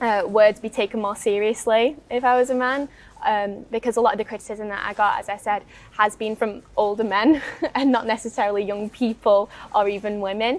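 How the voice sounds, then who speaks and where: Against noticeable background noise, a woman with a Northwest English accent talks at a fairly quick pace in a fairly high pitch with fairly even intonation. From Northwest England. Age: young. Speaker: young campaigner. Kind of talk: interview.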